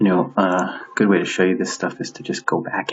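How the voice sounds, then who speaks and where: Over noticeable background noise, a man speaks in a very deep, low pitch at a moderate pace with monotone, flat intonation. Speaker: art professor teaching CAD. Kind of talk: tutorial. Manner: hesitant, many fillers.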